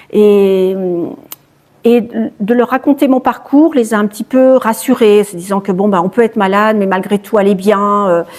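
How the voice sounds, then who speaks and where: The speaker moves at a moderate pace with ordinary pitch variation, broken up by long, frequent pauses. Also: woman, medium pitch for a woman. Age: 60s. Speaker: charity founder, cancer survivor. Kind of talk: interview. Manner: hesitant, repeats words.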